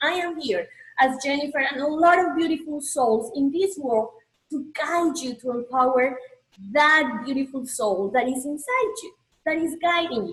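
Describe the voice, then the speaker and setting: A woman with a Colombian accent speaks at a moderate pace in a high pitch, her intonation lively. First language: Spanish. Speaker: spiritual coach and healer. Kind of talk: motivational presentation.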